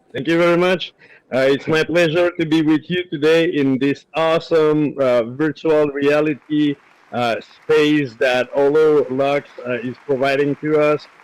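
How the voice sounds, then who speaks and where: With a French accent, a man speaks at a fairly slow pace. His pitch is fairly high and his intonation fairly even. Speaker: agile instructor. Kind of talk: introduction at online event. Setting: virtual reality live stream.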